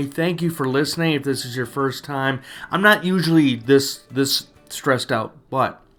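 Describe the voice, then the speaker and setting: Music plays behind a man with a fairly high pitch. He speaks at a fairly slow pace with ordinary pitch variation. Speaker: podcast host. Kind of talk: podcast talk.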